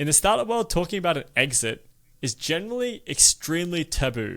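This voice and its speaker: On a very clean recording with a silent background, a man speaks fairly quickly in a bright, sharp tone with lively intonation. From Australia. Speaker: podcast host. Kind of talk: podcast interview.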